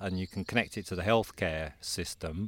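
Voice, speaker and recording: With a southern English accent, a man speaks at a moderate pace and fairly low pitch on a very clean recording with a silent background. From Croydon, south London. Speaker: forest bathing institute director. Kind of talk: interview conversation. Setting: outdoors in woodland.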